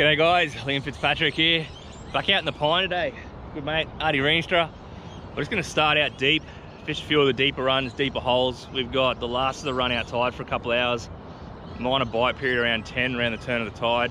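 A man speaks at a fairly quick pace with ordinary pitch variation. The sound is dry with no echo, over light background noise. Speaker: fishing vlogger. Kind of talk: casual vlog chat. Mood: relaxed, upbeat. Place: boat. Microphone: phone near.

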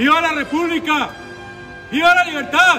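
Over music in the background, a man puts on a booming character voice at a moderate pace. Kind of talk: heroic declaration. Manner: defiant, shouting.

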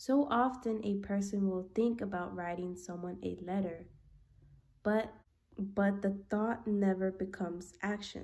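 Fairly slow and fairly even in intonation, a woman's voice has a dark, mellow tone. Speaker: book reader vlogger. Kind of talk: reading aloud. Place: home room. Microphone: phone near.

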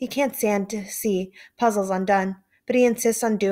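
With a quiet background behind it, the passage is read aloud in a natural voice.

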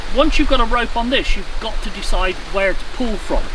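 A raised, projected voice comes through with lively intonation. The sound is dry with no echo, and noticeable background noise runs underneath. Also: man. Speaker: canoe instructor. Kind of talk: tutorial. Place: garden.

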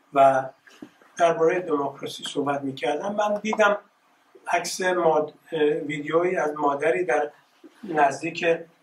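A man talks at a fairly slow pace with ordinary pitch variation and long, frequent pauses. There is light background noise and audible room echo. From Iran, Tehran. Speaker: artist. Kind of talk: presentation. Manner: halting. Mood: reflective, reminiscing. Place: hall. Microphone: camera far.

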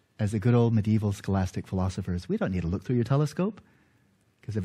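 Against a quiet background, a man speaks very fast in a dark, mellow, somewhat breathy voice. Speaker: lecturer. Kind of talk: lecture. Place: church.

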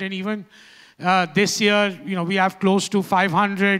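A man's raised, projected voice with a bright, sharp tone comes at a fairly slow pace over a quiet background. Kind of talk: press conference statement. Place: hall. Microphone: handheld.

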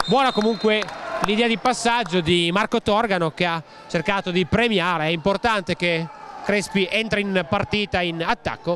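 A man's high-pitched voice at a moderate pace, with very even loudness, ordinary pitch variation, a dry sound with no echo, and noticeable background noise. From Italy. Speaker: basketball commentator. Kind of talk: live sports commentary. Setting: arena broadcast, commentary from courtside. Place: stadium.

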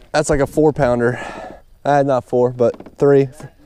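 A man talks at a fairly slow pace with monotone, flat intonation in a dry sound with no echo. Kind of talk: casual fishing commentary. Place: waterside. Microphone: phone near.

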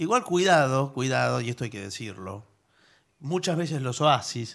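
Against a quiet background, a man speaks at a fairly slow pace with vocal fry, lively intonation and big swings in loudness. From Argentina. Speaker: radio co-host and announcer. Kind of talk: radio comedy chat. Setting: radio studio. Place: studio.

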